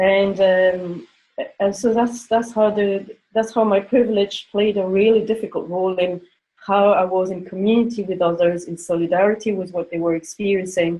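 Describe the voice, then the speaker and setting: Speaking with a non-native accent, a woman talks at a moderate pace and medium pitch with fairly even intonation. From France, grew up in Africa. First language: not English. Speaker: panelist. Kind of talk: panel discussion. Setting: conference call. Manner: halting.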